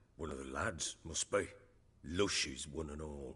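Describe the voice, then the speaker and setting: Putting on a character voice, a man goes very deep and low, gruff and raspy, at a moderate pace. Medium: video game. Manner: gruff, blunt, coarse.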